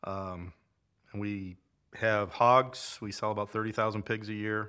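A man with a fairly low pitch and a bright, sharp tone speaks in a monotone, flat intonation in a very clean recording with a silent background. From Iowa, US Midwest. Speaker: farmer. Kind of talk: casual interview.

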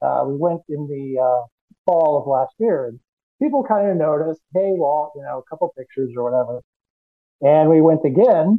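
A man talks in an unremarkable speaking voice, fairly high in pitch. His pace is moderate and his pitch varies in an ordinary way. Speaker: cosplayer. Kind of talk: casual interview.

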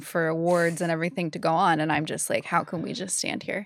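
On a very clean recording with a silent background, a woman with an American accent talks in a fairly low pitch. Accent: Boston-area New England, mostly suppressed. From Massachusetts. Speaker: disc golf commentator and podcaster. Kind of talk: casual chat.

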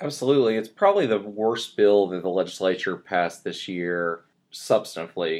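A man speaks at a moderate speed, and the background stays quiet. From West Tennessee. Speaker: state senator. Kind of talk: political interview.

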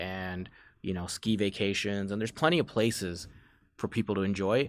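A man with an American accent has an unremarkable speaking voice, fairly low and fairly even in intonation, at a moderate pace. The recording is very clean, with a silent background. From Chicago suburbs, US Midwest. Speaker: beverage company executive. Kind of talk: podcast interview.

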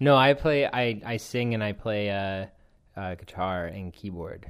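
A man with an unremarkable speaking voice and fairly low pitch talks at a fairly slow pace. His pitch varies in an ordinary way. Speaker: musician. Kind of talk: casual chat. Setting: band's kitchen.

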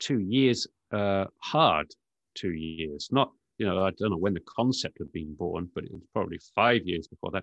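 A man speaks at a fairly low pitch in a British accent, with ordinary pitch variation. The sound is dry and close with no echo, over a quiet background. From United Kingdom. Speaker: tech journalist. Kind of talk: casual interview. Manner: hesitant, filler words.

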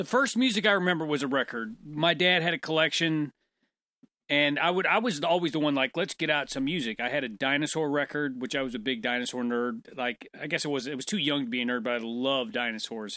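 With a bright, sharp tone and a fairly high pitch, a man speaks at a fairly quick pace with lively intonation in a very clean recording with a silent background. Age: 40s. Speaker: podcast co-host. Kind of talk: casual chat. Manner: talkative.

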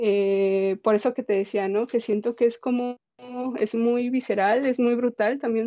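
Fairly high in pitch yet dark and mellow in tone, a woman speaks fairly slowly with fairly even intonation. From Mexico, Guadalajara (Jalisco). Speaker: printmaker and visual artist. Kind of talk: interview conversation.

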